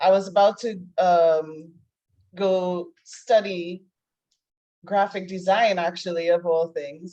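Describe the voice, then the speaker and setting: In a Trinidadian accent, a woman speaks at a fairly slow pace. Her medium-pitched voice has a dark, mellow tone and flat, monotone intonation. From Trinidad and Tobago. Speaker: life coach. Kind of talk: interview. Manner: casual, conversational.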